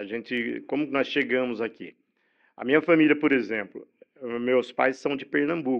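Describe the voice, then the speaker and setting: A man speaks at a moderate pace and medium pitch. He has a plain, everyday voice. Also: ordinary pitch variation. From Brazil, São Paulo state (Campinas/Hortolândia area). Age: 60s. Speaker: journalist. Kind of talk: podcast interview. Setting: studio.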